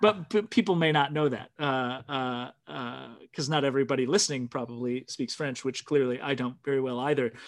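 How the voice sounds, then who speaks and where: A plain, everyday voice at a fairly quick pace, with hardly any pauses, ordinary pitch variation and a quiet background. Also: man, medium pitch for a man. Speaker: podcast host. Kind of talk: casual chat. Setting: video call.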